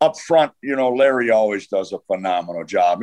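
The pitch of a man's voice swings very widely. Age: 70s. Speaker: retired football coach. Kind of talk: casual interview chat.

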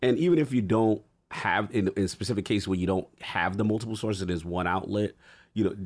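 Very clean and set against a silent background, the recording captures a man talking at a very fast pace in a fairly low voice with an animated tone. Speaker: podcast co-host. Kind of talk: casual chat. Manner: animated, slangy.

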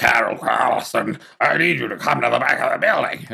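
A raspy, put-on character voice. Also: man, moderate pace. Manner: yelling.

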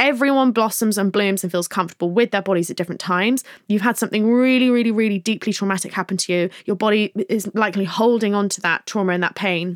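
Speaking at a very fast pace with hardly any pauses, a woman with an English accent uses a medium pitch and ordinary pitch variation, recorded dry and close with no echo. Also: very clean recording, silent background. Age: 20s. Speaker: podcast host and author. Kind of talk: advice podcast, reading listener questions. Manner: casual, hesitant with many ums.

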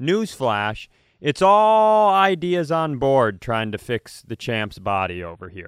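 A man at medium pitch, very slow in pace, with very wide pitch swings, on a very clean recording with a silent background. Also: big swings in loudness. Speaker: comedian and podcast co-host. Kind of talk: casual chat. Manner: loud.

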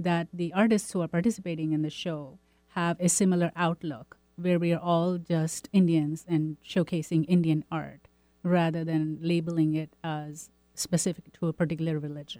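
A woman speaks at a moderate pace, her pitch fairly low and her intonation fairly even. Music plays in the background. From India. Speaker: artist and art teacher. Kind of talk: radio interview.

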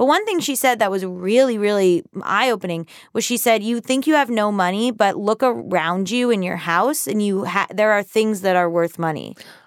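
A woman with an American accent has a plain, everyday voice at medium pitch. She speaks at a moderate pace with lively intonation. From US South. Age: 30s. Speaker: writer and personal finance author. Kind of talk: casual chat.

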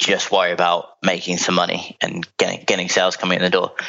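Someone with a London accent talks at a very fast pace. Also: man. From London, England. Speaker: founder of a business brokerage firm. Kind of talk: interview. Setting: remote call.

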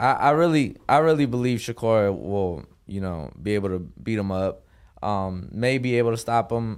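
A man at a medium pitch with an American accent, lively intonation and a moderate pace, in a very clean recording with a silent background. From US, North Las Vegas. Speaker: professional boxer. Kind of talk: interview. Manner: hesitant.

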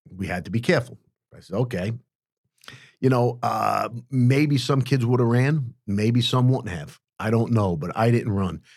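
With a New York accent, a man of medium pitch speaks at a moderate pace with ordinary pitch variation and long, frequent pauses. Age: 60s. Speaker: former mob hitman. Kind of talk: interview storytelling. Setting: studio. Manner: animated.

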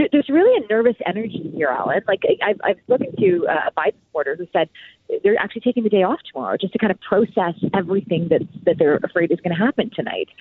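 A woman's medium-pitched voice at a very fast pace with lively intonation. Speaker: news anchor. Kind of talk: news interview chat. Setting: phone call.

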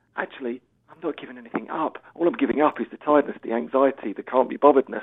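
A man with an English accent talks at a very fast pace in a fairly high pitch. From England. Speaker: author and sobriety coach, former footballer. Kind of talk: recorded interview. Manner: animated.

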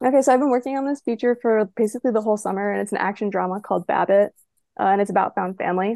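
A woman with a dark, mellow tone talks at a very fast pace, showing ordinary pitch variation. The sound is dry and close, with no echo. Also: fairly high pitch for a woman, quiet background. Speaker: aspiring screenwriter. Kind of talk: story pitch. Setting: at home, remote.

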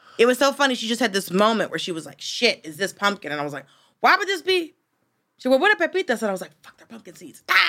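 With an American accent, a woman talks at a very fast pace in a bright, sharp tone with vocal fry, a fairly high pitch, very wide pitch swings and big swings in loudness. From US South. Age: 40s. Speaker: comedian. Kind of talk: casual chat.

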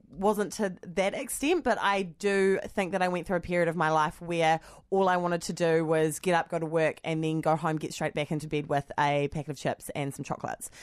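A woman speaks with a New Zealand accent. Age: 20s. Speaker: podcast co-host. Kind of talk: casual chat.

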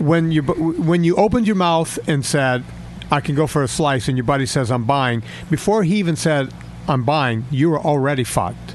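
Against noticeable background noise, a man speaks at a fairly high pitch and moderate pace, with ordinary pitch variation and very even loudness. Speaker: fitness and nutrition coach. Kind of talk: casual chat. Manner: animated.

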